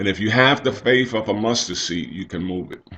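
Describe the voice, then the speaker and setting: The man's voice sits at a medium pitch. His intonation is fairly even. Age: 60s. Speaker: church elder giving devotional. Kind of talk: devotional talk.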